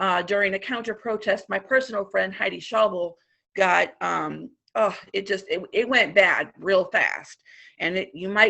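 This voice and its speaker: Moderate speed and ordinary pitch variation in a woman's voice of medium pitch. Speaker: public commenter at city council meeting. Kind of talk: public comment.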